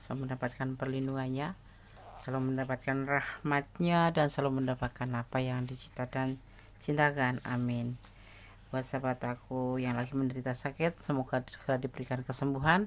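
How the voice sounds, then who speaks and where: The speech goes at a fairly quick pace on a very clean recording with a silent background. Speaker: tarot reader. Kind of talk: tarot reading talk to camera. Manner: friendly, casual.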